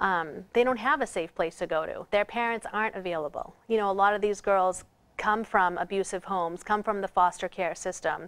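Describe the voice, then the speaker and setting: In a Boston accent, a woman at a medium pitch talks at a fairly quick pace with hardly any pauses and ordinary pitch variation, on a very clean recording with a silent background. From Boston area, Massachusetts. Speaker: author and trafficking survivor. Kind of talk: interview testimony. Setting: TV studio.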